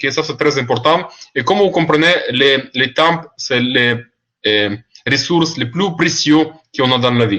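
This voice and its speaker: Speaking with a non-native accent, a man uses a bright, sharp tone at a fairly high pitch with ordinary pitch variation, at a fairly slow pace with long, frequent pauses. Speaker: online seminar presenter. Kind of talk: webinar presentation. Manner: halting, many fillers.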